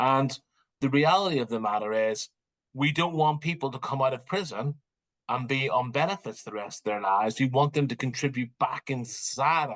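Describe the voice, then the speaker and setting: A man speaks in a Northern Irish accent at a medium pitch. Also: ordinary pitch variation, moderate pace. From Northern Ireland. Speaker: criminology professor. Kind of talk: interview.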